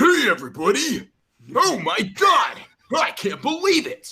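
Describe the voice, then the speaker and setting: A put-on character voice is shouting. The pace is moderate. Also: man, extremely high pitch for a man. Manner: excited, exclaiming.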